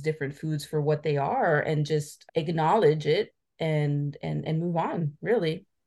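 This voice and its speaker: A woman with a very deep, low pitch and a dark, mellow tone speaks at a fairly slow pace. Her intonation stays fairly even against a quiet background. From Italy (Friuli). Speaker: website founder on Italian culture. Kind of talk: interview. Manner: halting, many fillers and restarts.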